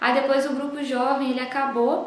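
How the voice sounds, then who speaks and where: Slowly and with monotone, flat intonation, a woman with a high pitch speaks over noticeable background noise and audible room echo. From Brazil, Juiz de Fora, Minas Gerais. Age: 20s. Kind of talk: testimony. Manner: halting.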